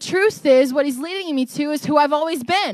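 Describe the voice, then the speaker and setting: Loud, animated speech at a fairly quick pace with ordinary pitch variation and a dry, close sound with no echo. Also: woman. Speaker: guest preacher. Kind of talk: sermon. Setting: church.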